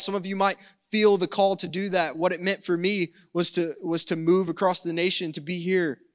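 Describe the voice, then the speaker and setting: With a Southern US accent, a man talks at a moderate pace in a high voice with monotone, flat intonation. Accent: Southern American. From US South. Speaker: pastor. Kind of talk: sermon. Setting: church service streamed online.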